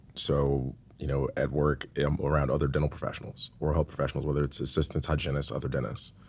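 In an American accent, a man with a very deep, low voice and vocal fry talks at a very fast pace in a monotone, flat delivery with hardly any pauses. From US South, Atlanta. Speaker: dentist. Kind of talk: casual chat.

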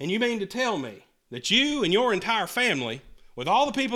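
A man speaks with very wide swings in pitch. The recording is very clean, with a silent background. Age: 20s. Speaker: pastor. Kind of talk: sermon. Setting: church.

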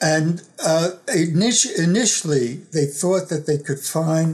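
At a very slow pace, a man talks at a fairly high pitch with ordinary pitch variation. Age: 80s. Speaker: professor and author. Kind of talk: interview. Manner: halting.

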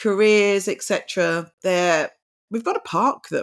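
A woman with a British accent on a very clean recording against a silent background. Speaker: podcast host. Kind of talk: interview. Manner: halting.

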